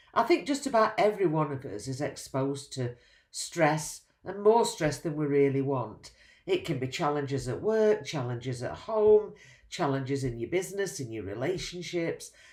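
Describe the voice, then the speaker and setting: The voice moves through very wide pitch swings. It keeps a moderate pace. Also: woman, very deep, low pitch for a woman. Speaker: high performance coach. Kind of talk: direct-to-camera advice talk.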